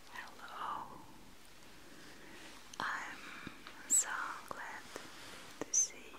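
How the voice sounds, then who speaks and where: At a very slow pace, a woman talks with long, frequent pauses. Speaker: ASMR host in caretaker role. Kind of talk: ASMR role-play. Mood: warm, welcoming. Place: home room. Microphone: studio mic.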